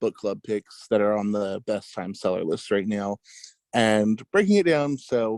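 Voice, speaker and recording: Speaking with an American accent, a man has an unremarkable speaking voice, fairly low in pitch. His pace is moderate, pitch variation ordinary, and the sound dry and close with no echo. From California, Fresno. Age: 20s. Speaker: podcaster. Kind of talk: casual chat.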